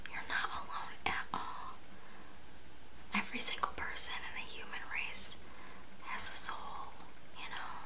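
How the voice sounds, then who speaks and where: A soft-spoken woman whispers at a fairly slow pace in a gentle tone. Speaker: video creator. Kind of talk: intimate comforting address to viewer. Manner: soft gentle whisper, comforting. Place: home room. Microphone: phone near.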